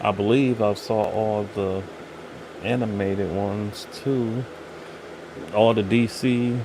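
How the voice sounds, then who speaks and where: Soft-spoken and monotone, a man talks very slowly at a fairly low pitch with long, frequent pauses over noticeable background noise. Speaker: channel host, pop culture reviewer. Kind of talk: casual chat. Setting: live stream.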